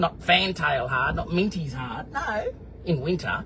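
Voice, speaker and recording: A man with an Australian accent, over noticeable background noise. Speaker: vlogger. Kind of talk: casual video diary answering live comments. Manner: animated.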